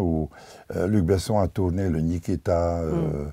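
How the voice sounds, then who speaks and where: A man speaks at a very slow pace. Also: very clean recording, silent background. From Hungary / Czechoslovakia border region. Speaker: painter and filmmaker. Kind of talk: interview. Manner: halting.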